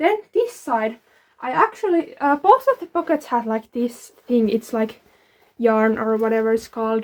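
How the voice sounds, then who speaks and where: With a non-native accent, a woman speaks at a moderate pace with lively intonation on a very clean recording with a silent background. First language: not English. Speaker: DIY fashion vlogger. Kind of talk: show-and-tell tutorial. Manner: casual, filler-heavy (like, um).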